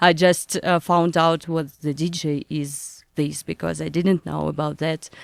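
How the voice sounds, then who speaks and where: A woman's very deep, low voice with a Russian accent, flat and monotone, at a fairly slow pace with hardly any pauses, dry and close with no echo, on a very clean recording with a silent background. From northern Russia, near Murmansk. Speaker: DJ and music producer. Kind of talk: interview. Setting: studio. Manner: halting.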